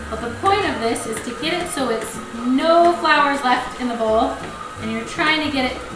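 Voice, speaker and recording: A woman's high-pitched voice with ordinary pitch variation, audible room echo and clear music in the background. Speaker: presenter. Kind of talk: tutorial. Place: kitchen.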